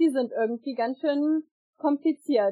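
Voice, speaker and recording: The woman keeps a moderate pace and fairly even intonation. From Lower Saxony, Germany (Einbeck). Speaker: scout leader and songbook editor. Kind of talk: casual interview. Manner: hesitant, many fillers.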